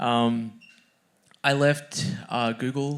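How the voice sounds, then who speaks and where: A man with an Australian accent talks at a medium pitch. The recording is very clean, with a silent background. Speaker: author and software engineer. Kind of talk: conference fireside chat. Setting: stage with audience.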